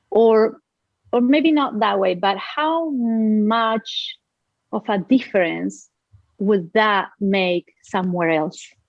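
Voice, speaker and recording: The speaker talks at a very slow pace with a Spanish accent. The intonation is lively. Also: woman, fairly high pitch for a woman. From Uruguay. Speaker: business owner, nonprofit founder. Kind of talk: podcast interview answer.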